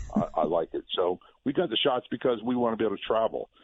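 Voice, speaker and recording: With an American accent, a man talks at a fairly quick pace and ordinary pitch variation. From Virginia (Norfolk). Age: 60s. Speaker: former police officer. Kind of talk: radio interview.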